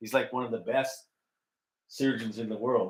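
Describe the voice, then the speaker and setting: A man with a Canadian accent talks at a moderate pace in an animated tone. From Canada. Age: 60s. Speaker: ex-military operating engineer. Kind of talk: casual storytelling chat.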